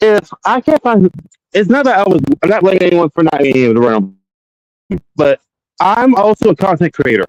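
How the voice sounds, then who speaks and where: A man's very evenly loud voice, high in pitch with very wide pitch swings, at a fairly quick pace with long, frequent pauses, in a dry, close sound with no echo. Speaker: streamer. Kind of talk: casual live stream chat. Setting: outdoors in a cemetery. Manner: sassy, animated.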